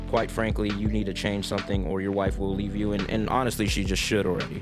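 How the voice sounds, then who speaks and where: A man speaks calmly at a moderate pace in a fairly low pitch. Music plays in the background, and the room echo is audible. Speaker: reddit story reader and musician. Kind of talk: reading aloud with commentary. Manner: calm, low-key; hesitant, repetitive fillers.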